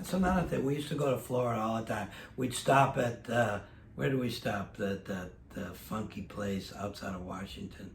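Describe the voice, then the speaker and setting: Audible room echo surrounds a man whose medium-pitched voice has lively intonation. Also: moderate pace. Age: 70s. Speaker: vintage clothing dealer. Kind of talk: casual chat.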